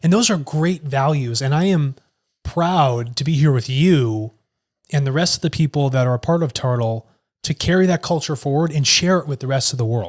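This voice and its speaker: The voice is somewhat breathy, with ordinary pitch variation at a moderate pace, on a very clean recording with a silent background and dry, close sound with no echo. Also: man, fairly high pitch for a man. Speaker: tech company executive. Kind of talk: casual conversation.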